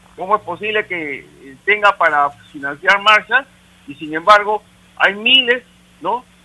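A man's voice, high in pitch. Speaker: caller. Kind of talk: call-in opinion.

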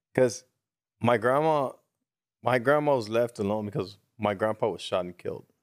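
With an American accent, a man at medium pitch pauses long and often in a very clean recording with a silent background. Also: ordinary pitch variation. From US, East Los Angeles. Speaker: stand-up comedian and podcast co-host. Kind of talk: casual chat. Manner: fast, words tumbling out.

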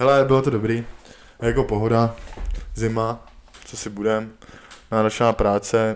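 This man talks at a medium pitch in a monotone, flat intonation. His speech has long, frequent pauses. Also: moderate pace, big swings in loudness. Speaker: podcast co-host. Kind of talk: casual chat.

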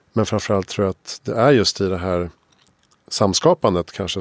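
A man with a very deep, low pitch speaks at a moderate pace. The sound is dry and close with no echo, and his pitch varies in an ordinary way. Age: 40s. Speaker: podcast host. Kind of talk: interview conversation. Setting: studio.

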